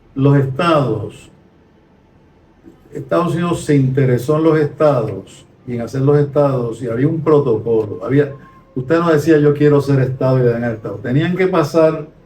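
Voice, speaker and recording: A man's fairly high-pitched voice, with ordinary pitch variation, comes at a moderate pace through noticeable background noise. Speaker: retired sociology professor. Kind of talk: conversational podcast discussion.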